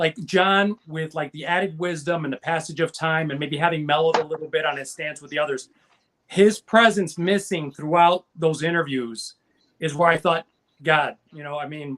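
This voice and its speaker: A man with a normal speaking voice talks at a moderate pace and a fairly high pitch. His loudness swings widely, and the sound is dry and close with no echo. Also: fairly even intonation. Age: 50s. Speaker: panelist on music talk show. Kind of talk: casual chat.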